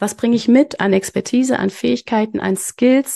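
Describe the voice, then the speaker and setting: There is a dark, mellow tone to this woman's voice, and her pitch varies in an ordinary way. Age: 30s. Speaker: business consultant and mentor. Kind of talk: casual interview chat.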